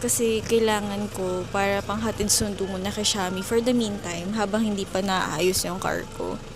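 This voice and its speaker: A woman talks at a fairly slow pace. There is audible room echo and noticeable background noise. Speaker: vlogger. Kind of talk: casual vlog talk to camera. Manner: serious-sounding, not lively.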